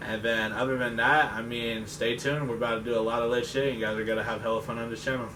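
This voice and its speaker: With an American accent, a man at medium pitch talks in a flat monotone at a very fast pace with hardly any pauses, amid noticeable background noise and audible room echo. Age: 20s. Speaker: car enthusiast group member. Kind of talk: casual self-introduction.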